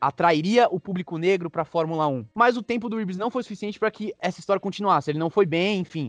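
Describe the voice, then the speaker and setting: At a very fast pace with hardly any pauses, a man speaks at a high pitch with ordinary pitch variation, the sound dry and close with no echo. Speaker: sports podcast co-host. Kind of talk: casual chat.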